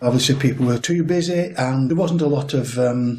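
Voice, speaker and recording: With a Lancashire accent, a man speaks in a somewhat breathy voice at a fairly high pitch and moderate pace, with ordinary pitch variation and audible room echo. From northern England, Lancashire (Chorley area). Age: 60s. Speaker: angler and conservationist. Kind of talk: interview.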